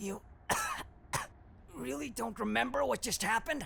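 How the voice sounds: A put-on character voice with a fairly high pitch moves at a moderate pace over clear background noise.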